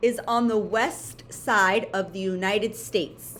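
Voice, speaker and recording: A woman is speaking. Her pace is very slow. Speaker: elementary school teacher. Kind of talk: homework tutorial for pupils; dictated spelling test.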